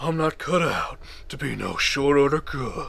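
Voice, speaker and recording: Putting on a character voice, a man sounds raspy at a fairly high pitch and a moderate pace. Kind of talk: mocking parody. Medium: solo performance.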